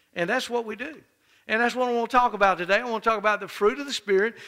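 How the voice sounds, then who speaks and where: Against a quiet background, a man projects a raised voice with a bright, sharp tone. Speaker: pastor. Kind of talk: sermon. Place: church. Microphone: headset.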